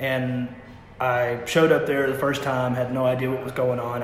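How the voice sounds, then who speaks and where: The speaker has a Kentucky accent and a monotone, flat intonation. Noticeable background noise runs under the voice. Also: man. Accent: Southern US, Kentucky. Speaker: singer-songwriter musician. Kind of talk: casual interview chat. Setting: restaurant.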